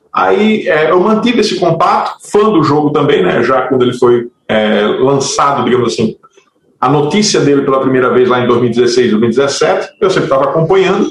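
This man speaks at a moderate pace in a fairly high pitch, his pitch swinging very widely while his loudness stays very even. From Natal, northeastern Brazil. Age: 40s. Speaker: game producer and biologist. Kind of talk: casual interview.

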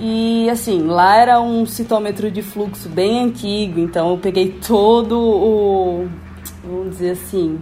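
A woman at medium pitch speaks at a very slow pace with fairly even intonation. Audible room echo and noticeable background noise fill the recording. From Brazil, Natal, Rio Grande do Norte. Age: 20s. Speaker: biomedical scientist. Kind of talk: interview.

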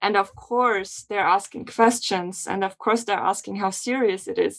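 A plain, everyday voice from a woman at medium pitch, at a moderate pace with fairly even intonation. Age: 20s. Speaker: podcast host. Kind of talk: casual interview.

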